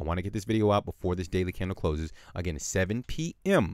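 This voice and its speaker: A man speaks with lively intonation. The sound is dry and close with no echo. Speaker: crypto chart analyst. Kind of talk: market analysis tutorial. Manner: fast; harsh at times.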